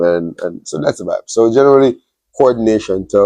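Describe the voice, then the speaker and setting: Animated in tone, a man speaks at a fairly quick pace. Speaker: wedding officiant and MC. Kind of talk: interview.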